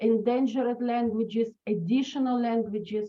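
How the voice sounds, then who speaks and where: A woman speaks at a high pitch and a moderate pace. Her intonation stays fairly even. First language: Russian and Hebrew. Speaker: professor, early multilingual education researcher. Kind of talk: webinar presentation. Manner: hesitant, many fillers.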